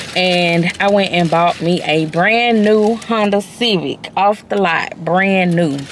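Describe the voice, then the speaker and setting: Against noticeable background noise, a woman speaks at medium pitch with ordinary pitch variation. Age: 30s. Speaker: lifestyle vlogger. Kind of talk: casual vlog chat. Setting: in a car. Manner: loud; animated.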